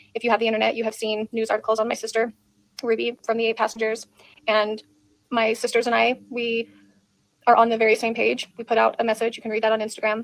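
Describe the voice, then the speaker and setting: A woman's raspy, put-on character voice, fairly high in pitch, at a very fast pace. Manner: somber, sad.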